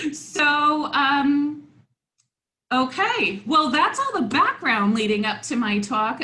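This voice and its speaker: A high-pitched woman's raised, projected voice, bright and sharp in tone, at a fairly slow pace with audible room echo. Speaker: academic researcher presenter. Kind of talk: conference talk. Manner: hesitant fillers.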